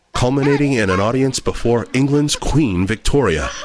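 The man has an unremarkable speaking voice, pitched in the medium range and delivered at a moderate pace. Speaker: documentary narrator. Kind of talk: scripted narration.

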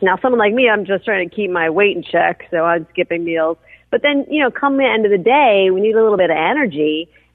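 A woman talks in an ordinary speaking voice at a fairly quick pace, with hardly any pauses, lively intonation, medium pitch, and very even loudness. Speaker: journalist. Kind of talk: casual chat.

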